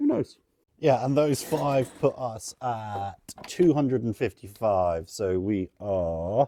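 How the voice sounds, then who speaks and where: With an English accent and a dark, mellow tone, a man speaks at a very slow pace with lively intonation, in a dry, close sound with no echo on a very clean recording with a silent background. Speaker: online reseller. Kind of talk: vlog.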